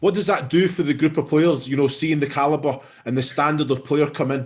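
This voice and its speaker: Speaking in a strong Scottish accent, a man talks at a fairly quick pace in a fairly high, somewhat breathy voice with fairly even intonation. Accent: thick Scottish. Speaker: football pundit. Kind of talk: post-match analysis chat. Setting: stadium broadcast.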